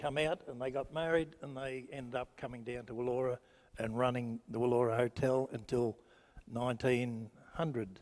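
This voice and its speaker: Speaking with a rural Australian accent, a man keeps a moderate pace and fairly even intonation. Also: medium pitch for a man. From rural Victoria, Australia. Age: 70s. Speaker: local resident sharing memories. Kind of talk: group reminiscence.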